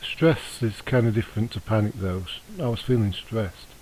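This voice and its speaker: Mumbling at a moderate pace, a man talks with a fairly low pitch and ordinary pitch variation. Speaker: vlogger. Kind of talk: personal testimony vlog. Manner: hesitant, many fillers.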